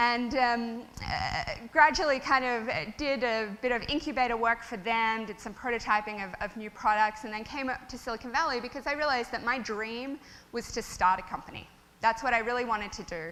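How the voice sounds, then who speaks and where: A woman with an Australian accent and a fairly high pitch speaks with big swings in loudness. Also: ordinary pitch variation, fairly quick pace. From Australia (Melbourne). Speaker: tech startup founder. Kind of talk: conference talk. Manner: casual, many fillers.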